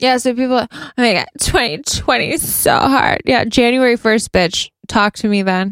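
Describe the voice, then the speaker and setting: This woman's voice is high-pitched and moderately paced. The sound is dry and close, with no echo. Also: ordinary pitch variation, very even loudness. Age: 30s. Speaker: podcast co-host. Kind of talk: casual chat. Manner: animated.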